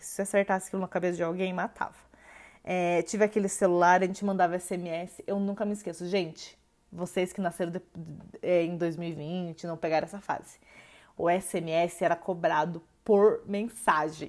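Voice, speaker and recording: Her loudness swings widely as a woman speaks at medium pitch with monotone, flat intonation. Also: moderate pace. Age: 20s. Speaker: podcast host. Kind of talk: solo podcast monologue. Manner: casual, hesitant with filler words.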